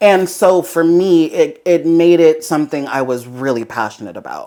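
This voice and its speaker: With an American accent, a woman has a plain, everyday voice at a fairly low pitch. She keeps a moderate pace with ordinary pitch variation. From South Los Angeles, California. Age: 30s. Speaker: fashion designer. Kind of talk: interview.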